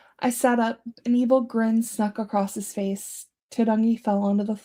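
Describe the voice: Plain reading aloud in fairly even intonation, over a quiet background.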